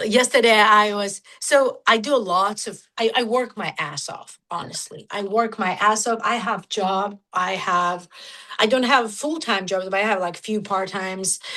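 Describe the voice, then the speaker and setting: This woman has a bright, sharp tone and a medium pitch. She speaks fairly slowly with ordinary pitch variation. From Georgia (country), raised in Russia. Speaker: nu-metal musician. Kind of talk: casual interview. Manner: halting, filler-heavy.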